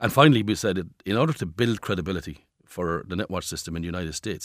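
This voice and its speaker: In a very clean recording with a silent background, a man with an Irish accent talks very fast in a very deep, low voice with ordinary pitch variation. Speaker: company chief executive. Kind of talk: interview. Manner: repeats words, stammering starts.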